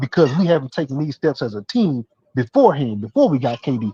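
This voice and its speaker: A man's dark, mellow, somewhat breathy voice in a dry, close sound with no echo. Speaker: sports talk show host. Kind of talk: heated debate. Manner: halting, many repetitions and fillers; fast.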